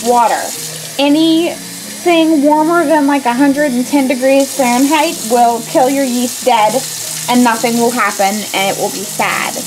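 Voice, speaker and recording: The voice shows ordinary pitch variation. Noticeable background noise is present. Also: woman, high pitch for a woman, fairly slow pace. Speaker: home cook host. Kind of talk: tutorial. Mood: playful, upbeat. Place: kitchen. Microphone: camera far.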